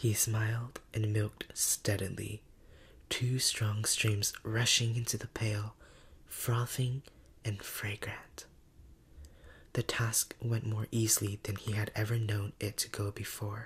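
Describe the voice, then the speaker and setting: A soft-spoken, somewhat breathy man's whisper at a very slow pace. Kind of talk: story reading, ASMR bedtime narration. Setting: studio. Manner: whispered, soft-spoken.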